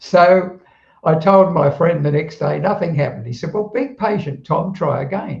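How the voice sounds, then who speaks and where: The man talks at a moderate pace, his high pitch showing ordinary variation. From southeast London, England, then Australia from age 15. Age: 80s+. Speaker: retired telecommunications worker, automatic writer. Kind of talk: interview storytelling. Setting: live stream conversation.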